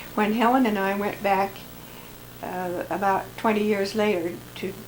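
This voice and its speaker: There is noticeable background noise and audible room echo. A woman talks at a fairly slow pace with ordinary pitch variation. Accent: American. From US Midwest, Lincoln, Nebraska. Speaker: family elder recording memoirs. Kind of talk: oral history reminiscence. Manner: halting, many repetitions.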